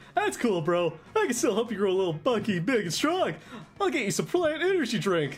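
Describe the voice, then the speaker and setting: A man's put-on character voice, high-pitched and fairly quick, with very wide pitch swings. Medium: virtual streamer. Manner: excitable, eager, bro-ish.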